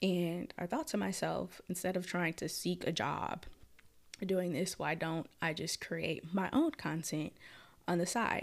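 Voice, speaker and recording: A fairly low-pitched woman with an American accent and vocal fry, at a fairly slow pace with ordinary pitch variation, in a very clean recording with a silent background. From Minneapolis, Minnesota. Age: 20s. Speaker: podcast host. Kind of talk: casual solo monologue. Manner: frequent laughter.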